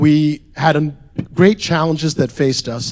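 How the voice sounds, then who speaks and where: Fairly high pitch from a man. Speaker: restaurant group founder and CEO. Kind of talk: conference presentation. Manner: loud.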